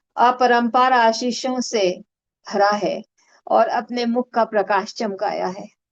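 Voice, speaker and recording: Pitched fairly high, a woman talks with ordinary pitch variation. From India, Gorakhpur (eastern Uttar Pradesh). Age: 60s. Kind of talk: testimony. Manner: hesitant, frequent filler sounds.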